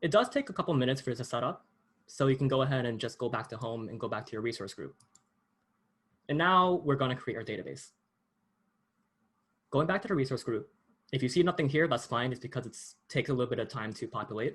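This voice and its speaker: Speaking at a very fast pace yet with long, frequent pauses, a man uses a medium pitch and ordinary pitch variation. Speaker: workshop instructor. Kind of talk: tutorial.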